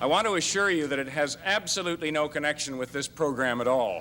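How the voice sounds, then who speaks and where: There is noticeable background noise as a man with a fairly high pitch speaks at a moderate pace. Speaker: lawyer. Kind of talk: lecture.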